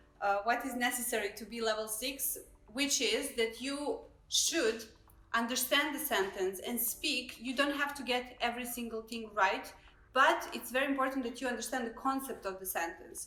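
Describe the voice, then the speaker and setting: In a room with audible echo, a woman with a non-native accent and a high pitch speaks at a moderate pace with ordinary pitch variation. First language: not English. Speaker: immigration consultant. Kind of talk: live stream discussion. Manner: hesitant, many fillers.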